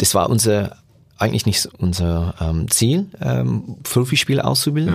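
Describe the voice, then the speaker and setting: A man's fairly low voice at a fairly slow pace. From England. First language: English (speaking German). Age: 40s. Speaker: youth football coach. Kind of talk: interview. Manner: halting, many fillers.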